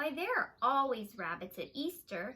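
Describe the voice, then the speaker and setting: A woman's put-on character voice, high-pitched, at a moderate pace. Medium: read story. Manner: sleepy.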